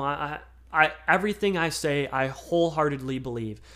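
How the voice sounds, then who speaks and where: An unremarkable speaking voice from a fairly high-pitched man with an American accent, at a fairly quick pace, on a very clean recording with a silent background. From Michigan. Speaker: sports podcaster. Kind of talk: casual solo podcast.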